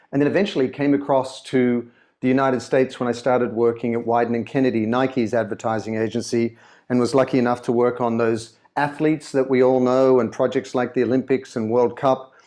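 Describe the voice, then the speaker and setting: A man with an Australian accent, medium pitch, a dark, mellow tone and monotone, flat intonation, at a fairly quick pace against a quiet background. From Australia, Sydney. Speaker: brand consultant and author. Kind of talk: interview. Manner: conversational, some repetitions.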